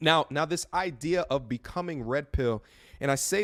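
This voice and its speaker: A man with a normal speaking voice talks at a moderate pace with lively intonation, the sound dry and close with no echo on a very clean recording with a silent background. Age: 30s. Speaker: YouTuber giving advice to men. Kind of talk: interview.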